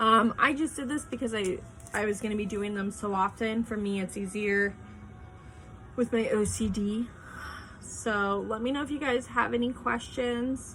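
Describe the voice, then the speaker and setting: In an unremarkable speaking voice, a woman talks at a moderate pace, fairly high in pitch with fairly even intonation. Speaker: craft business owner and video tutor. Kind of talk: tutorial. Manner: casual, filler-heavy.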